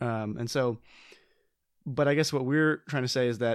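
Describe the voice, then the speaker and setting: At a moderate pace and with ordinary pitch variation, the voice comes through dry and close with no echo, on a very clean recording against a silent background. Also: man. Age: 20s. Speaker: board game podcast co-host. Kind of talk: casual chat. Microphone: new microphone.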